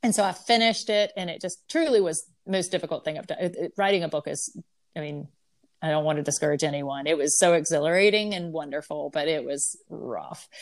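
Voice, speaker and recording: A woman with a plain, everyday voice speaks with an American accent at a fairly quick pace and fairly low pitch, with ordinary pitch variation. The recording is very clean, with a silent background. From US South. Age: 40s. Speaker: painter. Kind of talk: interview.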